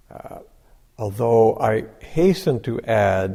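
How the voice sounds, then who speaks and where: Speaking at a very slow pace, the man has a medium pitch and a dark, mellow tone. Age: 60s. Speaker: Zen Buddhist teacher. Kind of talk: dharma talk. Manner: halting, many fillers.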